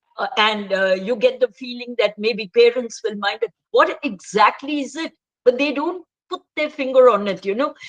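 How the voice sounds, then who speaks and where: A woman speaks at a high pitch and moderate pace, with lively intonation and big swings in loudness. The sound is dry and close, with no echo. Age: 60s. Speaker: author. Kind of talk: casual chat.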